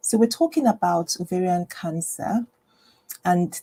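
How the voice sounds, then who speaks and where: A woman speaks at a fairly low pitch in a somewhat breathy voice with a dark, mellow tone and ordinary pitch variation. The sound is dry and close with no echo. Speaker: general practitioner and health educator. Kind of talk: live stream health talk. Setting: home live stream, screen share. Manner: quiet, low voice; hesitant, many fillers.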